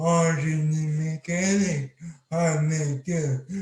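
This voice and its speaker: This somewhat breathy voice moves at a very slow pace. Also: man. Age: 20s. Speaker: accident survivor speaker. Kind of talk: testimony talk. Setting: video call. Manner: speech hard to understand.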